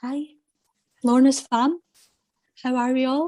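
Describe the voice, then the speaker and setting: Her pitch is high, and she has a Scottish accent. The woman keeps to a fairly slow pace. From Scotland. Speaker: confidence coach. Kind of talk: casual chat.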